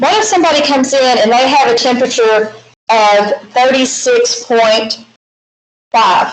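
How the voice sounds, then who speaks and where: A woman's high-pitched voice with a slight Southern accent, lively intonation and very even loudness. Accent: slight southern drawl. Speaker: math teacher. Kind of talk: lecture.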